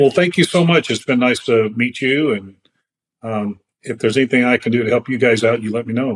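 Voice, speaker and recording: Talking at a fairly quick pace, a man with an unremarkable speaking voice holds a medium pitch with ordinary pitch variation. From California. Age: 60s. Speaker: falconer. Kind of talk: casual chat. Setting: video call.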